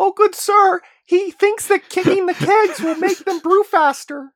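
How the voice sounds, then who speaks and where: A put-on character voice, extremely high and squeaky, runs at a moderate pace. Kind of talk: formal, courteous. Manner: constructed character voice.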